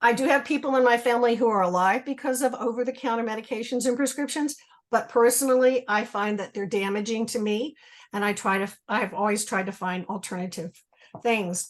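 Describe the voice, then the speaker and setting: Speaking in a normal speaking voice, a woman with a fairly high pitch shows ordinary pitch variation. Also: fairly quick pace. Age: 60s. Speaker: retired school teacher, webinar guest. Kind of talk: testimony.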